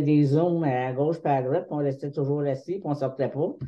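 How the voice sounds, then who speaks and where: In a Quebec accent, a woman speaks with a very deep, low pitch. Her intonation stays fairly even. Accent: Québécois French. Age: 70s. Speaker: patient partner. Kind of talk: testimony. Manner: halting.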